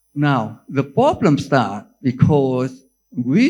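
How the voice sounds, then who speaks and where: With a Vietnamese accent, a man speaks at a medium pitch using lively intonation. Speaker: neurologist professor. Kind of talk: conference lecture. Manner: halting, with many fillers and restarts.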